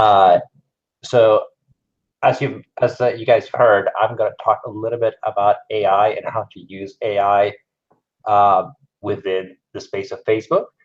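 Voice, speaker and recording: A man with a non-native accent at a fairly slow pace, with long, frequent pauses and big swings in loudness. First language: not English. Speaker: conference speaker, digital marketer. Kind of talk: conference talk. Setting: stage with audience, live-streamed.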